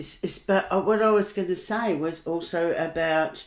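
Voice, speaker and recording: A woman with an Australian accent and fairly low pitch, at a fairly slow pace with ordinary pitch variation, in a very clean recording with a silent background. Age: 70s. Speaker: workshop facilitator. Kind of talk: casual chat.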